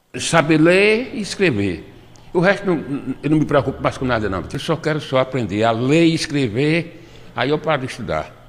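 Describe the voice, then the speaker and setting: Speaking at a moderate pace, a man with a fairly high pitch shows lively intonation and some vocal fry. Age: 80s+. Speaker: adult literacy student. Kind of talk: interview answer. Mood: cheerful, smiling. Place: classroom. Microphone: handheld.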